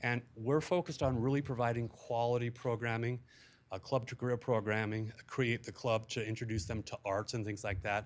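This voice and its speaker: A man talks at a fairly quick pace and a medium pitch. The background is quiet. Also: fairly even intonation. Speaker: youth club director. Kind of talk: presentation to city council. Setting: city council meeting. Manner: fast.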